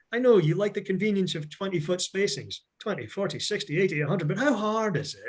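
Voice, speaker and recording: Speaking at a fairly quick pace, a man with an American accent and a high pitch uses ordinary pitch variation in a very clean recording with a silent background. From Scotland. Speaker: lightning protection standards expert and trainer. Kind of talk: lecture. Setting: virtual seminar. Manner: casual, conversational.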